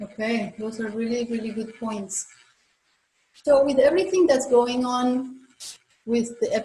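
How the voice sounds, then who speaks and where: A woman speaks with a Spanish accent. Her pitch is fairly high and her voice somewhat breathy. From Colombia. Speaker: chiropractor. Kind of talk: interview.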